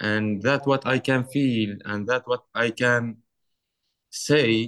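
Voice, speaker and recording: Recorded with a dry, close sound and no echo, the speaker has an Arabic accent and ordinary pitch variation. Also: man. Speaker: artist. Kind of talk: interview.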